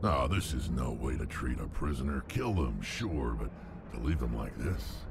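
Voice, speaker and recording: A man performs a put-on character voice at a moderate pace. Loud background noise fills the clip. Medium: machinima. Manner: blunt.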